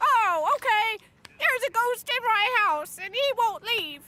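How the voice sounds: A female-sounding cartoonish character voice, extremely high in pitch, speaks at a fairly slow pace.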